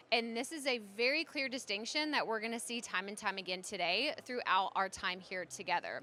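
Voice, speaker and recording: A loud woman with a fairly high pitch, a bright, sharp, animated tone and lively intonation. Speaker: podcaster and content strategist giving a conference talk. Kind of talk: conference presentation. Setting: stage with audience.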